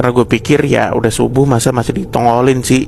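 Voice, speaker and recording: Against noticeable background noise, a man with a medium pitch speaks at a fairly quick pace. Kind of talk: horror story narration told casually while cooking. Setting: recorded at home while cooking. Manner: casual, conversational, storytelling.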